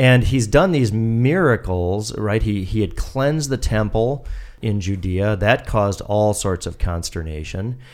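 A man speaks with a fairly low pitch and ordinary pitch variation. His pace is fairly slow. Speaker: pastor. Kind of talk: bible study discussion. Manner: halting, frequent filler words.

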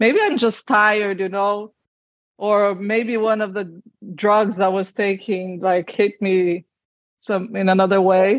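She has a plain, everyday voice. This woman's pitch is medium and her pace fairly slow. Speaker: IVF patient sharing her fertility story. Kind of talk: personal testimony in interview.

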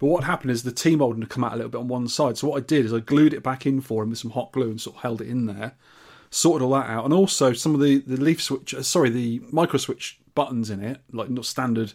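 Captured in a very clean recording with a silent background, a man with a British accent speaks very fast with ordinary pitch variation. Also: medium pitch for a man. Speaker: podcast host. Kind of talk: casual chat. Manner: joking, chatty.

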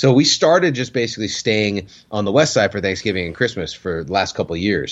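A man's very fast, vocal-fried speech with very wide pitch swings. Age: 30s. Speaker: podcast co-host. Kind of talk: casual chat. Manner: halting.

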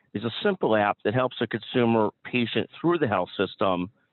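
Speaking at a moderate pace with lively intonation, a man has an unremarkable speaking voice. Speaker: podcast host. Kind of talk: interview.

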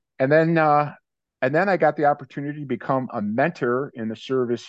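An unremarkable speaking voice, a man talks at a moderate pace with ordinary pitch variation. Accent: American. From US Midwest, Cleveland, Ohio. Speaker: leadership coach and author. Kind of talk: interview.

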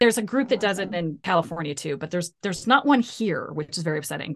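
In a plain, everyday voice, a woman with an American accent speaks fairly low against a quiet background. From US Midwest, Ohio. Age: 50s. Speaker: psychologist. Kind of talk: interview.

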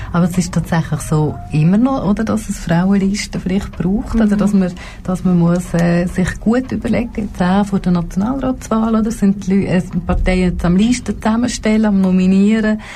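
A woman at medium pitch with ordinary pitch variation speaks over noticeable background noise. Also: moderate pace. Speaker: politician. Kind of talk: talk show interview. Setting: radio studio.

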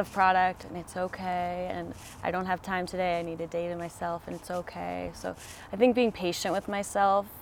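Using an ordinary speaking voice, a woman with an American accent talks at a moderate pace, her medium pitch carrying fairly even intonation. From Colorado. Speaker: herbalist. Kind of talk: interview. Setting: outdoors.

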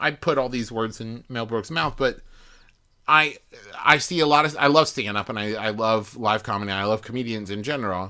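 A man talks in an animated tone at a moderate pace. His tone is bright and sharp. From US, West Virginia. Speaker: podcaster. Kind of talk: casual chat. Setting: studio.

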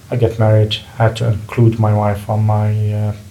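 A man with an Arabic accent speaks at a moderate pace in a fairly low, flat monotone against noticeable background noise. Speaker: medical equipment repairer. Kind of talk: casual interview conversation.

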